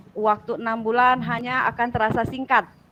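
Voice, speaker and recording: Her pitch fairly high, a woman speaks with fairly even intonation. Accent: Bengkulu. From Sumatra, Bengkulu. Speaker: teacher trainer. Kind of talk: online class introduction. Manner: loud, blunt; hesitant, many fillers.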